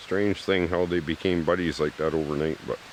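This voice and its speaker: Noticeable background noise runs under this recording. A man talks with a very deep, low pitch. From Canada, British Columbia. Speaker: survivalist vlogger. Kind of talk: casual vlog narration and chat. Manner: relaxed, hesitant with fillers.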